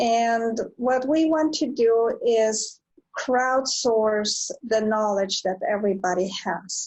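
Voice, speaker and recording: In a Spanish accent, a woman speaks at a very slow pace with a fairly high pitch, ordinary pitch variation, and very even loudness. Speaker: nonprofit founder and business owner. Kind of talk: online presentation. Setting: video call from home. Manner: halting, many fillers. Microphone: slow connection.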